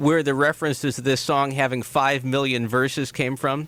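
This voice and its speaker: A man speaks in a plain, everyday voice with a fairly high pitch and a moderate pace. His loudness stays very even throughout. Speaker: radio interviewer, show host. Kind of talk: radio host introduction and interview.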